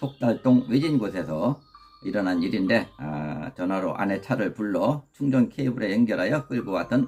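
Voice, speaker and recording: Music plays in the background as a man with a medium-pitched voice talks at a moderate pace with lively intonation. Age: 60s. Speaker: YouTuber and community group leader. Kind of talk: scripted narration. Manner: formal.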